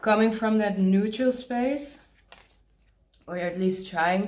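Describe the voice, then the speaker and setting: Amid audible room echo, a woman with a non-native accent speaks at a fairly slow pace with fairly even intonation. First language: not English. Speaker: tarot reader. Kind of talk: tarot card reading. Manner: halting, pauses to search for words; casual, conversational.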